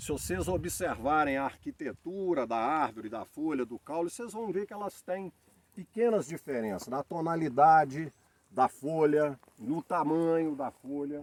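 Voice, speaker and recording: With an ordinary speaking voice at a fairly high pitch, a man shows big swings in loudness in a dry, close sound with no echo. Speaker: olive grower. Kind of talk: farm tour explanation.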